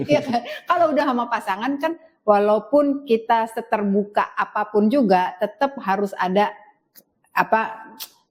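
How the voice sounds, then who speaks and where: A woman speaks at a fairly high pitch. Her pace is moderate and her pitch variation ordinary. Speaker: podcast host. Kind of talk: podcast interview. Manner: animated.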